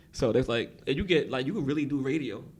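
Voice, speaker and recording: The speaker has a New York accent and talks at a very fast pace. The intonation is lively, with vocal fry. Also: man. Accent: New York accent, self-described. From Brooklyn, New York. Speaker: record label executive. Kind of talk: casual podcast interview.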